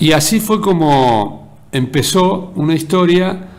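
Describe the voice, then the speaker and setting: Through audible room echo and noticeable background noise, a man with a high pitch speaks with ordinary pitch variation. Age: 60s. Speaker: local radio and TV host, journalist. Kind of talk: editorial monologue.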